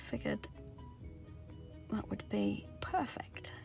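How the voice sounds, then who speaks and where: Over clear music in the background, a woman speaks at a very slow pace in a dry sound with no echo. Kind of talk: casual tutorial vlog chat. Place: car. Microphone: phone near.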